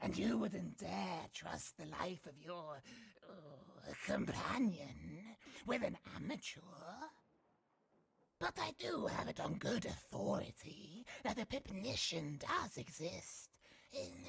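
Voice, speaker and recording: Using a put-on character voice at a middle pitch, the speaker goes at a fairly slow pace. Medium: video game. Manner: measured, hesitant with fillers.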